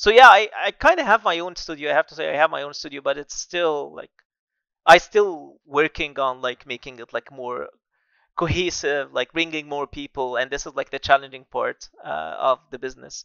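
The voice moves at a moderate pace with big swings in loudness. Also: man. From Egypt, Alexandria. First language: Arabic. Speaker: architect and AI artist. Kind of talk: casual interview. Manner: hesitant, filler-heavy.

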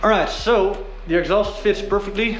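A man talks at a moderate pace. Light background noise and audible room echo surround him. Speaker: car hobbyist vlogger. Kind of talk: casual vlog chat. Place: garage. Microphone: phone near.

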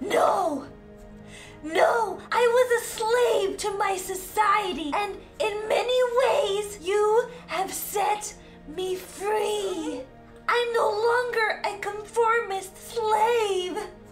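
In a cartoonish character voice, a man speaks very slowly at an extremely high pitch. Clear music plays in the background. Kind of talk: comic overacting. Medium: puppet show. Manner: frantic, urgent, then theatrical farewell.

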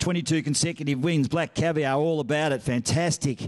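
The speaker has an Australian accent and ordinary pitch variation. The background is quiet. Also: man. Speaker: auctioneer and master of ceremonies. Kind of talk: charity auction calling. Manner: fast, upbeat. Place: hall. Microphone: handheld.

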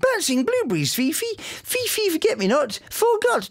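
Someone uses a put-on character voice at an extremely high pitch, speaking at a moderate pace. Light background noise is present. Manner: sing-song.

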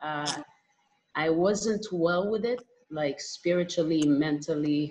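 A woman with an Israeli accent speaks at a very slow pace. Her pitch is fairly low, with ordinary variation. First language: Hebrew. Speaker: musician, artist; panel moderator. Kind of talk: panel discussion. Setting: video call. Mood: calm, reflective. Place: home room. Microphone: video call.

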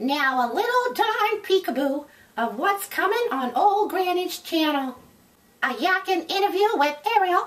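A woman's extremely high voice with very wide pitch swings. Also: moderate pace. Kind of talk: comic character vlog. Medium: solo performance.

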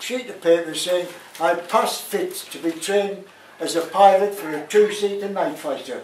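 A man's high-pitched voice at a moderate pace with fairly even intonation, audible room echo and light background noise. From Sunderland, North East England. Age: 90s. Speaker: war veteran, former prisoner of war. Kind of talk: public talk to an audience. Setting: live venue, pub function room. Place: bar.

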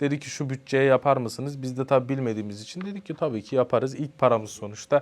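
A man of medium pitch talks at a very fast pace with hardly any pauses. His loudness swings a lot, while his pitch varies in an ordinary way. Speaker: social media content creator. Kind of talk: casual interview.

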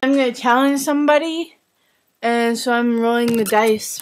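At a moderate pace, a woman speaks with a fairly high pitch and fairly even intonation.

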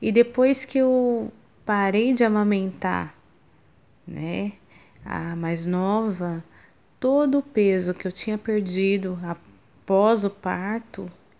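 A woman speaks at a medium pitch and a very slow pace, with ordinary pitch variation. Her pauses are long and frequent. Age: 30s. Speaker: mother giving a fitness program testimonial. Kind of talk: testimony. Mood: earnest, a bit sad. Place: home room. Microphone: phone near.

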